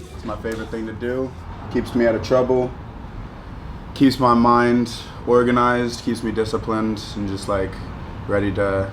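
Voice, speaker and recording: A man at a moderate pace, monotone and flat, with long, frequent pauses, audible room echo and noticeable background noise. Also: medium pitch for a man. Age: 20s. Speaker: MMA fighter. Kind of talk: documentary interview. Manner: halting, many fillers.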